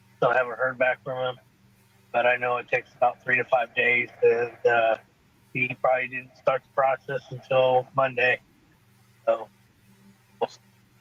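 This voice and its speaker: The speaker moves at a moderate pace in a monotone, flat intonation, with big swings in loudness. Long, frequent pauses break it up, and background noise is noticeable. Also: man, medium pitch for a man. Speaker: livestream host, coin seller. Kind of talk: casual chat. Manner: halting; soft-spoken. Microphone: Bluetooth headset cutting in and out.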